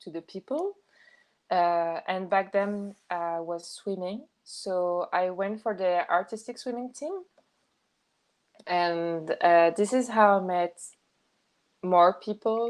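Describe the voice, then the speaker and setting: Speaking at a very slow pace with long, frequent pauses, a woman with a French accent shows ordinary pitch variation. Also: medium pitch for a woman. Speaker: podcast guest. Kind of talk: casual chat. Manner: halting.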